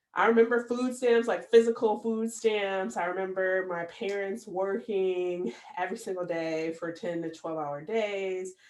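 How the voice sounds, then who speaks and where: A woman with a Midwestern American accent talks at a fairly slow pace. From US Midwest, Michigan (Battle Creek). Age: 30s. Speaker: podcast host. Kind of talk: personal monologue podcast. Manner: casual, many fillers.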